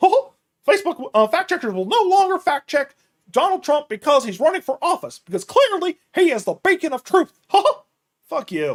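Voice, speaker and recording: A man's put-on character voice, extremely high-pitched with very wide pitch swings, at a moderate pace. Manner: comedic.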